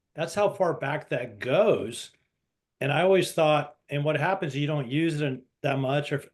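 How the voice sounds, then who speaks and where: This is an ordinary speaking voice with ordinary pitch variation. It moves at a moderate pace over a quiet background. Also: man. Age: 60s. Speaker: coaching student. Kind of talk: casual group discussion. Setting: video call.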